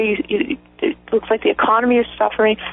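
Woman with an American accent, fairly high in pitch, moderate pace, ordinary pitch variation, music in the background. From southern West Virginia. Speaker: civil rights attorney. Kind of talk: interview.

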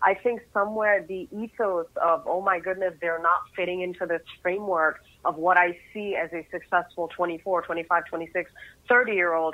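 With an American accent, a woman has a normal speaking voice, fairly low in pitch, quick-ish in pace, with ordinary pitch variation. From United States. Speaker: media company CEO and keynote speaker. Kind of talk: interview.

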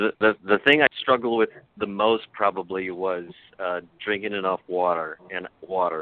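A man's ordinary speaking voice, fairly low in pitch, with fairly even intonation at a moderate pace. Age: 60s. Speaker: weight loss program member. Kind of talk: interview testimony.

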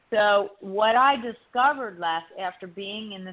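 With lively intonation and medium pitch, a woman has a normal speaking voice and speaks at a fairly slow pace. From US East Coast, Italian-American family. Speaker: relationship coach and author. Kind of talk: radio interview.

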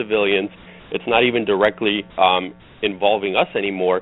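A man talks with fairly even intonation. Music plays in the background. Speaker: running coach. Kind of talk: interview. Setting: phone call.

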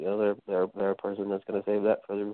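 Pitched fairly low, a man talks at a fairly quick pace. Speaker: guest panelist. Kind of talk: casual talk radio chat. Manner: halting, many fillers.

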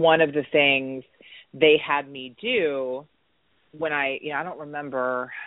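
A woman speaks in a very deep, low register with fairly even intonation. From US South. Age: 30s. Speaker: addiction recovery specialist. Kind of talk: casual interview.

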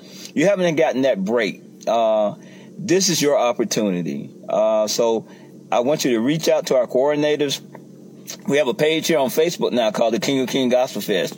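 A man with a Southern US accent speaks at a moderate pace in a fairly high pitch, his loudness very even and his pitch swinging very widely over noticeable background noise. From rural US South. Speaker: pastor and gospel music promoter. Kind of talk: promotional talk.

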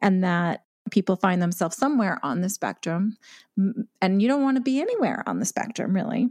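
In a Canadian accent, a woman with an unremarkable speaking voice and medium pitch talks fairly quickly with lively intonation against a quiet background. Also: dry, close sound with no echo. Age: 50s. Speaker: podcast host and recovery author. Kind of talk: interview.

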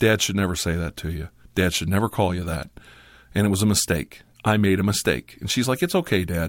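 Talking at a fairly quick pace, a man with a very deep, low pitch and ordinary pitch variation is heard in a very clean recording with a silent background. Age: 50s. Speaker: ASMR YouTuber. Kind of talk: casual chat. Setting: studio.

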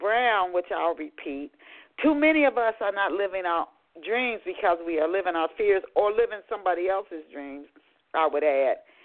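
This woman has a normal speaking voice and talks at a moderate pace. Her intonation is lively. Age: 50s. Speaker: radio show host. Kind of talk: radio interview.

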